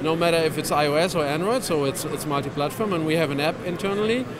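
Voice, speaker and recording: A man's voice comes through with a dry sound and no echo. Noticeable background noise runs behind it. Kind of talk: interview answer, product demo. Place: hall. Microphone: handheld.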